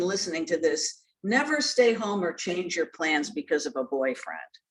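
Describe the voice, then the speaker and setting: At a moderate pace and medium pitch, a woman speaks in a normal speaking voice. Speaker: journalist and former news anchor. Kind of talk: interview. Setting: video call.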